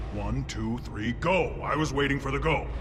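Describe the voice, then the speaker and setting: Against loud background noise, a man does a cartoonish character voice at a moderate pace. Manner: blunt, literal.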